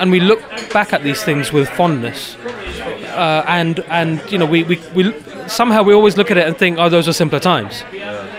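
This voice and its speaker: With crowd noise in the background and audible room echo, a man with a London accent speaks at a moderate pace in a high pitch with lively intonation. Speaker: photographer. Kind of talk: casual chat.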